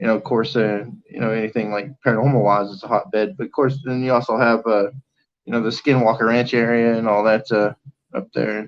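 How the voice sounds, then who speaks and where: A man with an American accent talks at a very fast pace in a medium pitch with fairly even intonation. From Oklahoma. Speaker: podcast co-host. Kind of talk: casual chat. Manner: halting, many fillers.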